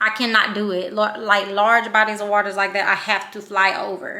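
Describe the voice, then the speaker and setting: A woman with a Louisiana accent, fairly high-pitched and bright, sharp in tone, at a fairly quick pace, with audible room echo. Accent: Louisiana country. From Louisiana, Shreveport. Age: 30s. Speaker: vlogger. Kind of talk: casual vlog talk.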